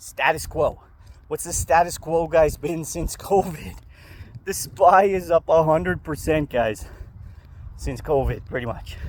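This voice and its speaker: Pausing long and often, a man with a fairly high pitch and vocal fry speaks at a fairly slow pace with ordinary pitch variation. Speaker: stock market youtuber. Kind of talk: casual vlog. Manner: casual, swearing-laced.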